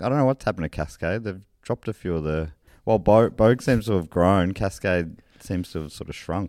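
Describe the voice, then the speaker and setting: In a very clean recording with a silent background and a dry, close sound with no echo, a man with an Australian accent speaks at a fairly quick pace. His pitch is very deep and low, and his intonation is lively. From country Victoria, Australia. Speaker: comedian and beer presenter. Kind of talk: casual interview chat.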